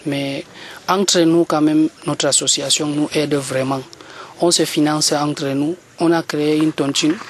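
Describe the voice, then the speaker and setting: Through noticeable background noise, a man talks fairly slowly in a monotone with flat intonation and very even loudness. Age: young. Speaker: youth association leader. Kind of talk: radio interview. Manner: halting.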